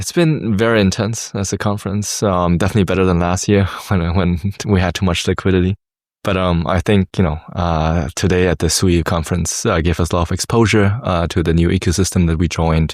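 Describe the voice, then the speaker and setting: A man with a German accent talks at a fairly quick pace in a very deep, low pitch, his intonation fairly even, on a very clean recording with a silent background. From Germany, Hamburg. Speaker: tech startup founder. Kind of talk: interview. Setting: conference in Dubai. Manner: halting, many fillers.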